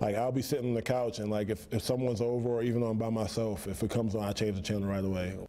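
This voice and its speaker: Very fast and with hardly any pauses, a man speaks with fairly even intonation and very even loudness. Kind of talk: interview answer. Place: cafe. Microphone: lapel.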